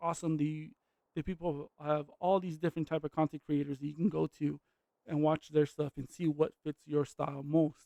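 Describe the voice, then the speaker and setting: The sound is dry and close, with no echo. A man with a fairly high pitch and a dark, mellow tone speaks at a fairly quick pace. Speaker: gaming youtuber. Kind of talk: gameplay commentary. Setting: alone in a room. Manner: stutters; halting.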